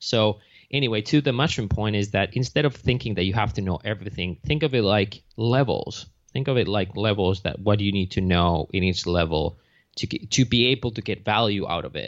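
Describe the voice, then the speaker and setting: A man's fairly low voice with a Finnish accent, ordinary pitch variation, and a fairly quick pace. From Finland. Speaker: mushroom company founder. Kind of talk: interview.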